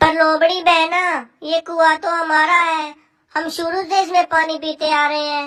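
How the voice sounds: An extremely high-pitched cartoonish character voice delivers its lines in a monotone, flat intonation. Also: moderate pace.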